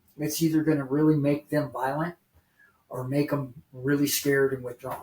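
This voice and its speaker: A man with a fairly high pitch speaks at a moderate pace in a monotone, flat intonation that is somewhat breathy. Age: 60s. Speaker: recovering addict. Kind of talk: testimony.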